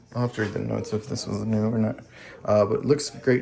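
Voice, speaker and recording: A quiet male voice amid noticeable background noise. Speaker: home inspector or house walkthrough guide. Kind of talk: property walkthrough narration. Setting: indoors, walking through a house. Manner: casual, with many fillers; speaking quietly near home office.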